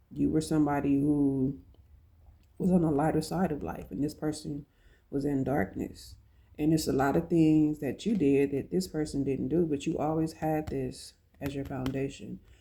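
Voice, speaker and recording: In a very clean recording with a silent background, a woman speaks at a moderate pace in a very deep, low, dark, mellow voice with vocal fry and ordinary pitch variation. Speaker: tarot card reader. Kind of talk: spiritual tarot reading. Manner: casual, conversational.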